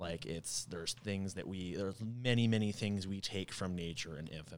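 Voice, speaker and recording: A man with an American accent, very deep low pitch, ordinary pitch variation and a fairly quick pace. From Arizona, US. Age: 20s. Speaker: musician. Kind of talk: casual chat.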